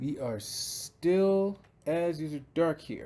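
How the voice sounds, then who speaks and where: A man is speaking. He has an American accent. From Chicago. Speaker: penetration tester. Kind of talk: screen-recorded tech tutorial walkthrough.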